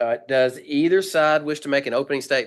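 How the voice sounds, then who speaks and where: A man talks with a Southern US accent. His pitch is fairly high, with ordinary variation. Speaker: medical board chair presiding over hearing. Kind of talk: formal hearing proceedings. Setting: video call meeting. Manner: halting, many fillers; fast.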